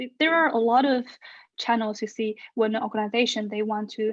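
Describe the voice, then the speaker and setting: Over a quiet background, a woman with a Chinese accent and fairly high pitch speaks at a moderate pace. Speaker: researcher and social media influencer. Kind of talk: Q&A in an online talk. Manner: hesitant, with fillers.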